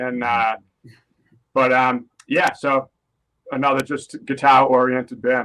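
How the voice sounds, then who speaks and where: A man's medium-pitched, bright, sharp voice in a Boston accent, flat and monotone, fairly slow with long, frequent pauses. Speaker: rock guitarist. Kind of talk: interview. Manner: casual, with fillers.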